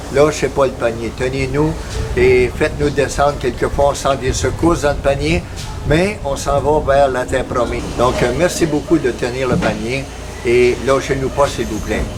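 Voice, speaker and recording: There is noticeable background noise and audible room echo. A man speaks at a fairly slow pace. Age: 70s. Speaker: missionary. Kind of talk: missionary appeal with devotional reflection. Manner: halting, frequent hesitations.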